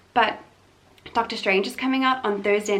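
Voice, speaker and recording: A woman talks at a fairly quick pace and medium pitch, with noticeable background noise. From South Africa, Limpopo small town. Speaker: vlogger. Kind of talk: casual vlog chat. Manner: fast.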